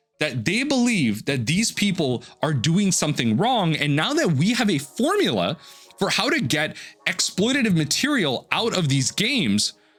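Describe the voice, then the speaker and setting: With music in the background, a man speaks at a moderate pace in a high pitch, his pitch swinging very widely while his loudness stays very even. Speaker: gaming and card game commentator. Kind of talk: opinion monologue. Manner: halting, with fillers.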